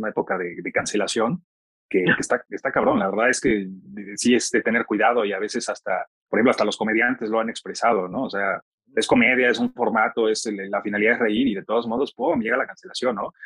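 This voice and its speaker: At a very fast pace, a man talks at a medium pitch with fairly even intonation, the sound dry and close with no echo. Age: 30s. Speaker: podcast host. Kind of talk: interview.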